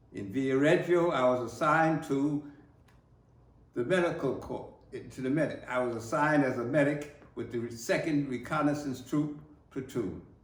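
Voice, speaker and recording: A man with an American accent talks at a moderate pace with ordinary pitch variation. His fairly high voice is somewhat breathy. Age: 80s+. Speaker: war veteran. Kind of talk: oral history recollection.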